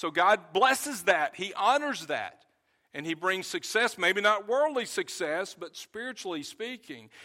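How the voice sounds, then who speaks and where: A man with a high pitch speaks in a raised, projected voice at a fairly slow pace, his bright, sharp tone sweeping through very wide pitch swings on a very clean recording with a silent background. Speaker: pastor. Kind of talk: sermon. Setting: church. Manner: loud.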